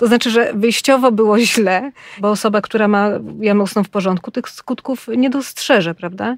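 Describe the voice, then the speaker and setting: A woman's ordinary speaking voice at a medium pitch, fairly quick in pace, with ordinary pitch variation and a dry, close sound with no echo. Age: 40s. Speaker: podcast co-host, health journalist. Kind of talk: casual chat.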